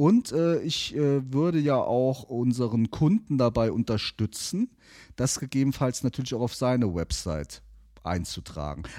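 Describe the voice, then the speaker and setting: In a very clean recording with a silent background and a dry, close sound with no echo, a man with a dark, mellow tone speaks at medium pitch and a fairly slow pace with lively intonation. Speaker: podcast producer and media agency owner. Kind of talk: casual chat.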